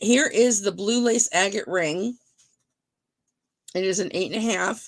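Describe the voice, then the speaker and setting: A female-sounding, raspy, put-on character voice comes through at a medium pitch. The pace is moderate. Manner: chewing ice while talking.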